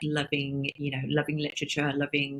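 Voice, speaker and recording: A woman speaks at a moderate pace in a very deep, low voice. The sound is dry and close, with no echo. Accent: strong Welsh. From South Wales, Barry. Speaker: talent agency founder. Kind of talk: interview. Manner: halting.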